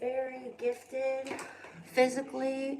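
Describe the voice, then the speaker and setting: Over noticeable background noise, a woman speaks with a high pitch. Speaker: live streamer. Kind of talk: casual live stream monologue. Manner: rambling with many fillers.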